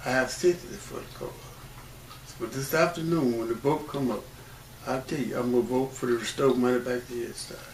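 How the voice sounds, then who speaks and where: A man with an American accent talks at a fairly quick pace in a medium pitch, with ordinary pitch variation, big swings in loudness, long, frequent pauses and noticeable background noise. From Mississippi, rural Issaquena County. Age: 80s+. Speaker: civil rights pioneer and credit union manager. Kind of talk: oral history interview.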